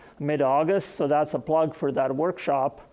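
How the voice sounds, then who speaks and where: A man in a non-native accent, at fairly high pitch. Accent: noticeable foreign. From Serbia. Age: 60s. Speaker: agronomy professor. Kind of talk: conference presentation.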